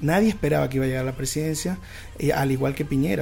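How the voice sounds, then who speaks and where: Music plays in the background as a man talks at a very fast pace. His pitch varies in an ordinary way. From Venezuela, Zulia state. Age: 20s. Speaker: lawyer and immigrant. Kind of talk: radio interview.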